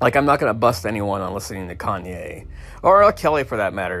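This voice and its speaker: In an American accent, a man with a fairly low pitch speaks at a very fast pace. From California. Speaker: podcast host. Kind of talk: casual monologue. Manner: hesitant, many fillers.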